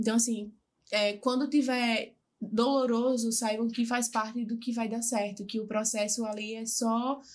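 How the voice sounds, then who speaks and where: With monotone, flat intonation, a woman speaks at a fairly high pitch and a fairly slow pace. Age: 20s. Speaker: lawyer. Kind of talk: interview testimony. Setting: live podcast.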